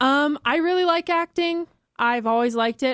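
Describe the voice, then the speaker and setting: The voice moves at a moderate pace with lively intonation. The recording is very clean, dry and close, with a silent background and no echo. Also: woman. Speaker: actress and model. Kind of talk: casual chat. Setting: studio. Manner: animated.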